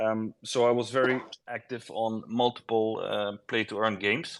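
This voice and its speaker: A man talks with a non-native accent. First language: not English. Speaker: game project founder. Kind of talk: casual interview. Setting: online audio space. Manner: halting.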